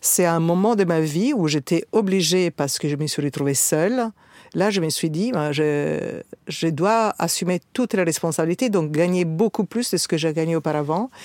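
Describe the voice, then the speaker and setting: In an Italian accent, a woman talks at a fairly low pitch with ordinary pitch variation. The recording is very clean with a silent background, and the sound is dry and close with no echo. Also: moderate pace. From Italian, born in South Africa. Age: 50s. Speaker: trade show founder. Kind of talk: casual interview chat.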